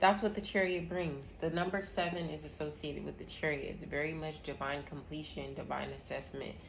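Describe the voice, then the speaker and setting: A woman talks at a fairly quick pace with hardly any pauses, and audible room echo surrounds her voice. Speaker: tarot reader and astrology host. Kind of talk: live tarot reading.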